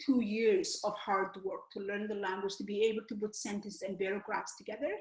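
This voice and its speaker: A somewhat breathy voice in a Somali accent, with ordinary pitch variation. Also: woman. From Somalia. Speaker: author and educator. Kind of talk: interview. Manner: halting.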